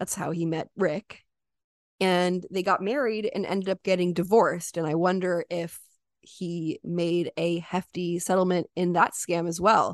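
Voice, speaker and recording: A monotone, flat delivery at a fairly slow pace, in a dry, close sound with no echo. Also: woman, fairly low pitch for a woman. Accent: American. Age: 20s. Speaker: true crime podcast co-host. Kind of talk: casual storytelling.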